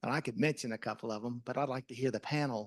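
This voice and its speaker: Against a quiet background, a man at a medium pitch is heard with a dry, close sound and no echo. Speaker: audience member. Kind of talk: audience question. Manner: loud.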